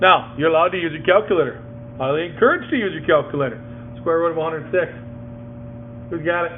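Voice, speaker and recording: Over noticeable background noise and audible room echo, a man talks at a very fast pace with lively intonation and long, frequent pauses. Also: fairly high pitch for a man. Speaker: math teacher. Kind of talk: classroom lesson. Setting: classroom with students.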